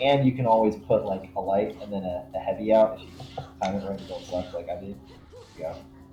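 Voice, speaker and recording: Over music in the background, a man speaks at a very fast pace with big swings in loudness. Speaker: gaming streamer. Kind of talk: tutorial. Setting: live stream. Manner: halting.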